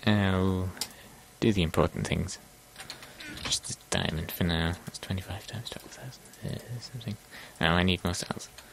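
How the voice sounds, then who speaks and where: Over noticeable background noise, a man with a very deep, low voice speaks at a moderate pace, with long, frequent pauses, big swings in loudness, and ordinary pitch variation. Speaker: gaming video creator. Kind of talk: gameplay commentary. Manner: casual, hesitant with fillers.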